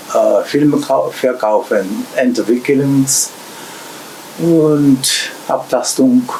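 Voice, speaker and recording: Noticeable background noise sits behind a man speaking at a very slow pace. He leaves long, frequent pauses. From Japan. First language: Japanese (speaking German). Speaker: shop owner and repair technician. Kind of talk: interview. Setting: in a shop. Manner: halting.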